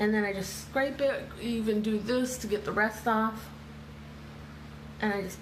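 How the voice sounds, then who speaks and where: A woman talks at a fairly slow pace. Audible room echo and noticeable background noise accompany her. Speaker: makeup seller and beauty vlogger. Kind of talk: live makeup tutorial. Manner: chatty, casual.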